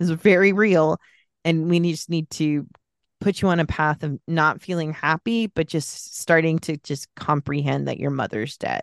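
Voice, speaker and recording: A woman with an American accent speaks at a moderate pace in a very deep, low pitch with ordinary pitch variation. The sound is dry and close with no echo, over a quiet background. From US West Coast, San Francisco Bay Area. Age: 40s. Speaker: podcast guest. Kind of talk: casual chat.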